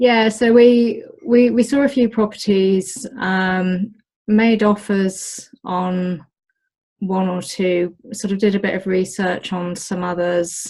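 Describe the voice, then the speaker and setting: This woman's voice is somewhat breathy. She speaks at a very slow pace. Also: medium pitch for a woman, ordinary pitch variation. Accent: British. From Britain. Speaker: olive farmer. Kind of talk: interview. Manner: hesitant, many fillers.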